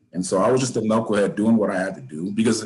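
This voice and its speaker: With an American accent, a man speaks very fast in a fairly low voice with ordinary pitch variation. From Oceanside, California (San Diego County). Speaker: former prisoner. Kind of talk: interview.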